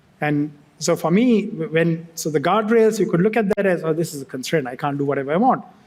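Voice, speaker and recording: A man's high-pitched voice with a Sri Lankan accent at a fairly quick pace. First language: Sinhala. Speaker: tech company executive. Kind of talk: fireside chat on stage. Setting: stage with audience. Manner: halting, with many restarts.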